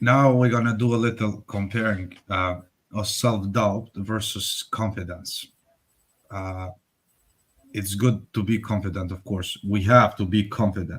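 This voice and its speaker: In a very clean recording with a silent background, a man speaks at a fairly slow pace. His fairly low voice is somewhat breathy, with fairly even intonation. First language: Albanian. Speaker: workshop co-presenter. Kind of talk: workshop presentation.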